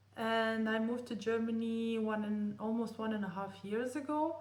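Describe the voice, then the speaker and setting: Amid noticeable background noise and audible room echo, a woman with a fairly high pitch speaks fairly slowly with fairly even intonation. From Romania. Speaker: vlogger. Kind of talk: personal vlog storytelling. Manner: halting.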